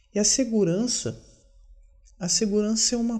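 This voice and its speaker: A man speaks quietly. His tone is dark and mellow. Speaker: video diarist. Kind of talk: personal video diary monologue. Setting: at home. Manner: quiet, subdued; halting, self-correcting.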